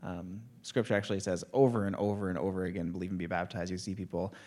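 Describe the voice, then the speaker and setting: A man's very deep, low voice at a very fast pace in a monotone, flat delivery, on a very clean recording with a silent background. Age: 30s. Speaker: church youth leader. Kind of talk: testimony.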